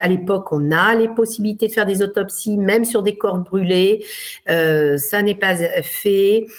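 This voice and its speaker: The pace is fairly slow and the intonation fairly even. Loudness stays very even throughout. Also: woman, medium pitch for a woman. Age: 50s. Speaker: lawyer. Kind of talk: interview. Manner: halting, frequent hesitations.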